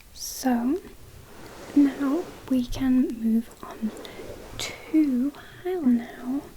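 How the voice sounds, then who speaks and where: The pace is very slow and the tone is gentle. Noticeable background noise is present. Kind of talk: ASMR role-play of a friend doing the listener's makeup. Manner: friendly, gentle, caring.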